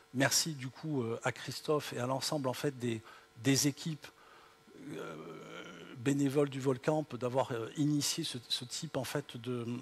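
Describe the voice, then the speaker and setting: A man speaks with a slight southern French accent. His voice is fairly high, somewhat breathy, with ordinary pitch variation. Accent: slight southern French (Midi). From southern France. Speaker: tech company founder, keynote speaker. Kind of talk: keynote speech. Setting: auditorium with audience. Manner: hesitant, many fillers.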